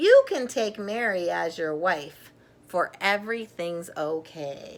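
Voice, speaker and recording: The woman adopts a put-on character voice. It sits at a medium pitch and unfolds fairly slowly. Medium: read story.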